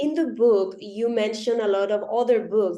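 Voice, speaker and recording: With a non-native accent, a woman speaks fairly slowly in a dark, mellow tone with ordinary pitch variation. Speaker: interviewer, marketing manager. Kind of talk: interview.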